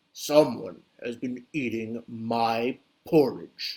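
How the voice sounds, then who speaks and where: A booming put-on character voice from a man at a medium pitch, at a very slow pace. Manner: loud, resonant.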